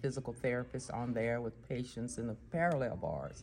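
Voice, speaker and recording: A woman with a Texan accent speaks at a very deep, low pitch marked by vocal fry. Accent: Texan Southern US. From Texas. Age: 70s. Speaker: physical therapist. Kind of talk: interview.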